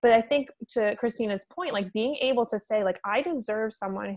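This woman talks at a moderate pace with an American accent and a fairly high pitch. She has ordinary pitch variation and a plain, everyday voice, set against a quiet background. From Italian American, US. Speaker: podcast co-host, nutritionist. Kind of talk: casual interview chat.

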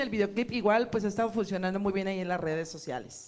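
Her intonation fairly even, a woman speaks at a medium pitch in a plain, everyday voice. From Mexico City. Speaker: singer. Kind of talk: casual chat.

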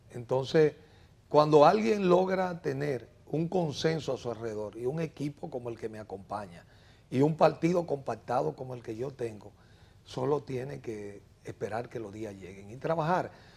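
With a plain, everyday voice, a man speaks at a moderate pace and a medium pitch, his intonation lively and his loudness swinging widely. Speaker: mayoral candidate, biologist. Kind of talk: interview.

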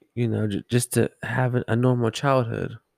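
This man speaks with an American accent. The sound is dry and close, without echo. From Southern California, Los Angeles. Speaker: podcaster sharing life story. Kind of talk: casual personal storytelling monologue.

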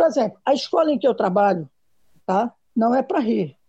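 At a fairly quick pace, a woman with an ordinary speaking voice talks at a fairly high pitch with lively intonation, the sound dry and close with no echo. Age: 50s. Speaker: schoolteacher. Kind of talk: panel discussion.

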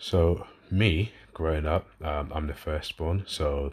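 Somewhat breathy, the voice moves at a fairly slow pace with a slight London accent against a quiet background. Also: man. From London, England. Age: 30s. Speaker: podcast host and fitness coach. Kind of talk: solo podcast monologue, casual. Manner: casual, conversational, fillers.

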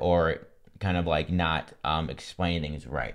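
A man speaks with a very deep, low pitch and vocal fry. The background is quiet. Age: 20s. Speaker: mental health podcast guest, content creator. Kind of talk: casual chat. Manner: halting.

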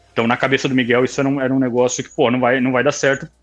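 At a very fast pace, a man talks at medium pitch. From Brazil, São Paulo state interior (Campinas area). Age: 30s. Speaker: kart racing league owner. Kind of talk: casual interview.

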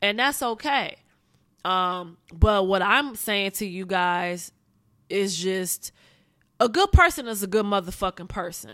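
In a very clean recording with a silent background, a woman with an American accent speaks at a fairly slow pace in a medium pitch, her tone bright and sharp, with long, frequent pauses. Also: ordinary pitch variation. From Pontiac, Michigan (US Midwest, Detroit area). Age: 30s. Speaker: podcast host. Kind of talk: personal storytelling monologue. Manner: casual, laid-back.

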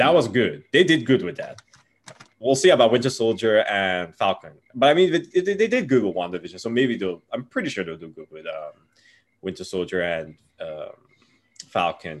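A man with vocal fry speaks at a moderate pace and medium pitch, making very wide pitch swings and big swings in loudness, with long, frequent pauses. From Nigeria. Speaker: Twitch streamer. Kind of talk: casual interview chat.

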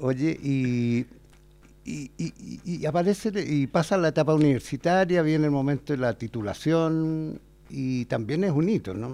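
A man with a Chilean accent, a fairly high pitch, a dark, mellow tone, lively intonation and a fairly slow pace. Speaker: university advertising teacher hosting podcast. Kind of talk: casual interview.

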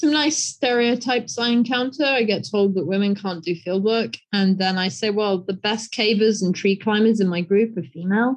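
A woman with a British accent, medium in pitch, at a moderate pace with hardly any pauses and ordinary pitch variation, against a quiet background. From England. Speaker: conservation scientist, professor. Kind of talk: interview.

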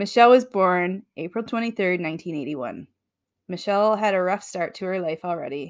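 At a fairly quick pace, a plain, everyday voice comes through on a very clean recording with a silent background. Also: woman. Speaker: podcast host. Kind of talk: casual banter and storytelling. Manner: laughs often, playful.

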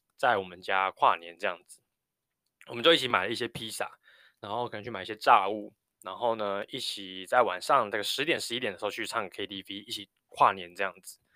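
In a Taiwanese accent, a man with a fairly low pitch talks at a fairly quick pace, his tone bright and sharp. His loudness swings a lot, and the recording is very clean with a silent background. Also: ordinary pitch variation. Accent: Taiwanese Mandarin. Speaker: nurse anesthetist and podcast host. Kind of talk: casual solo podcast monologue.

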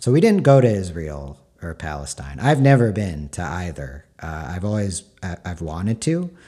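Over a very clean recording with a silent background, a man with a very deep, low voice talks at a moderate pace, using very wide pitch swings, big swings in loudness, hardly any pauses and a dark, mellow tone. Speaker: podcaster and novelist. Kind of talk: solo monologue, casual personal talk. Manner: hesitant, filler-heavy.

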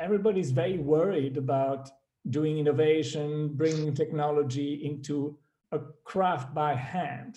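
Somewhat breathy and dark, mellow in tone, a man with a fairly high pitch speaks at a fairly slow pace with fairly even intonation. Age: 50s. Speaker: investor and business chairman. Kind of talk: interview. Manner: hesitant, many fillers.

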